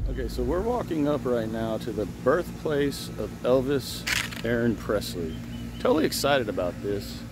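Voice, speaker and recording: A man is speaking. The sound is dry with no echo, and background noise is noticeable. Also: moderate pace. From Kentucky. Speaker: gardening vlogger, army veteran; family vlogger. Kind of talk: travel vlog, casual chat. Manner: animated. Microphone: phone near.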